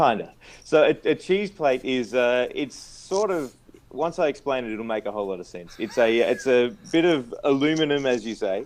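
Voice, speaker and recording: This man has a fairly high voice and lively intonation. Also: moderate pace. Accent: Australian. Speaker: product company representative. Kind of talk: interview about video gear. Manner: hesitant, many fillers.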